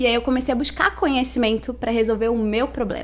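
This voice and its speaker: A woman with a Santa Catarina accent speaks at a fairly quick pace. Noticeable background noise is present. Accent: Itajaí accent, noticeable. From Santa Catarina, Brazil (Itajaí). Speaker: financial education consultant. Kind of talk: podcast interview.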